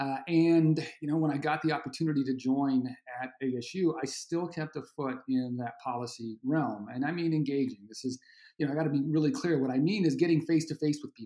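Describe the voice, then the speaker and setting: A man speaks at a fairly quick pace in a dark, mellow tone. His fairly high voice shows ordinary pitch variation. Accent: American. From Arizona. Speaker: education policy professor. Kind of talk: interview. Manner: halting.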